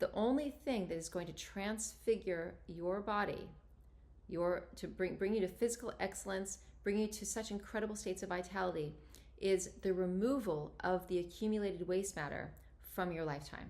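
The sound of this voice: This woman speaks at a moderate pace with a fairly low pitch, ordinary pitch variation and a slightly mellow tone.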